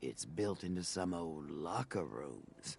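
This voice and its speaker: A man puts on a character voice with a very deep, low pitch. He goes at a fairly slow pace, with clear background noise behind him. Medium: video game. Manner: businesslike, wry.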